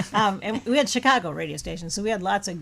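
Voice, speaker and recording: A woman with an American accent, an unremarkable speaking voice, medium pitch and a moderate pace. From US Midwest, Racine, Wisconsin. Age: 60s. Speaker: radio show guest. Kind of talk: casual chat.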